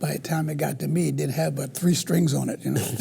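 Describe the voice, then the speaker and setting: Noticeable background noise is present throughout. Over it, a man talks with an American accent. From US South, Carolina. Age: 70s. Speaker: blues guitarist. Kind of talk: interview.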